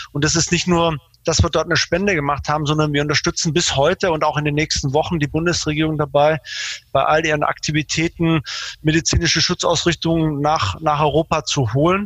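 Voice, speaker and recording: Heard as a dry, close sound with no echo, a man speaks at a fairly quick pace with very even loudness. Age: 40s. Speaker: logistics manager at a carmaker. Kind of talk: interview. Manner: hesitant, many fillers.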